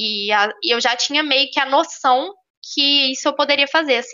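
This woman's voice is pitched high. She talks at a fairly quick pace. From Minas Gerais, Brazil (Belo Horizonte). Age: 20s. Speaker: engineering student and intern. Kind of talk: interview on a live stream.

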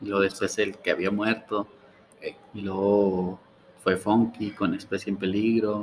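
A man speaks at a fairly slow pace with long, frequent pauses. His fairly low voice has monotone, flat intonation. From Mexico, Ciudad Juárez. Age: 20s. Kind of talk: interview. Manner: halting.

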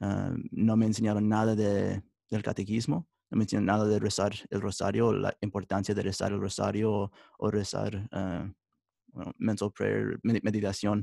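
Very cleanly recorded against a silent background, a man talks at a moderate pace in a fairly low, dark, mellow voice with vocal fry and monotone, flat intonation, the sound dry and close with no echo. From United States, Mexican-American family. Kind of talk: interview testimony. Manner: halting, many fillers.

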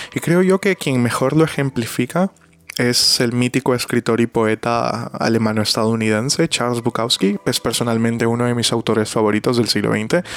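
At a moderate pace and medium pitch, a man speaks with ordinary pitch variation and very even loudness, in a dry, close sound with no echo. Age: 20s. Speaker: podcast host and interpreter. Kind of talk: solo podcast monologue. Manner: halting.

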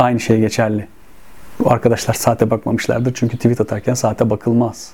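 A man speaks at a medium pitch and a fairly quick pace in a monotone, flat delivery, with noticeable background noise. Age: 40s. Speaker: football stats channel host. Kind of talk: solo video monologue.

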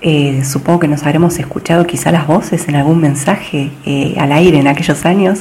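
Speaking at a moderate pace with hardly any pauses, a woman with a very deep, low pitch keeps her intonation fairly even over noticeable background noise. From Argentina. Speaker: digital communication specialist. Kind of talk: interview. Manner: hesitant.

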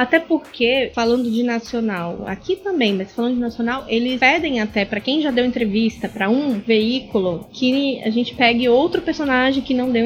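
Ordinary pitch variation at a moderate pace with hardly any pauses, over noticeable background noise. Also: woman. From Brazil, Natal (Rio Grande do Norte). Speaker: communications consultant, journalist. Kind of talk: casual interview chat. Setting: home studio.

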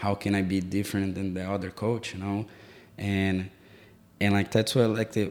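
On a very clean recording with a silent background, a man with a Brazilian accent talks at a moderate pace in a fairly low voice. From Brazil, Sao Paulo. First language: Portuguese. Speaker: soccer coach. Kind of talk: casual interview. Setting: in-person recording in an office.

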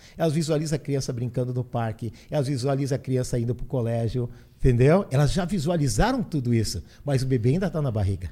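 A man speaks at a very fast pace in a dark, mellow tone that is somewhat breathy. His pitch varies in an ordinary way. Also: medium pitch for a man. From southern Brazil, Porto Alegre. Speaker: business consultant and motivational speaker. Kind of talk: podcast interview. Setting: studio.

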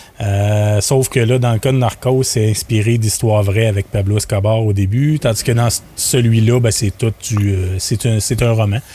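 A man has an ordinary speaking voice at medium pitch, speaking at a fairly slow pace. His loudness stays very even and his intonation fairly even. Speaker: podcast founder and business owner. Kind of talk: casual chat.

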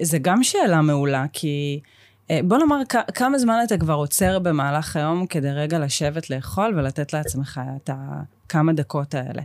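Lively intonation at a moderate pace in a very clean recording with a silent background. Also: woman, very deep, low pitch for a woman. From Israel, Even Yehuda. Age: 30s. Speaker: nutrition and fitness coach. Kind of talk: interview.

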